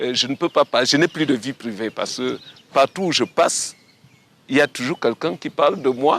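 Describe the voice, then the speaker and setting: Recorded with a dry, close sound with no echo, a man speaks at a moderate pace in a fairly high pitch with ordinary pitch variation. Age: 60s. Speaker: retired walker and runner. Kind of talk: interview testimony. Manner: halting.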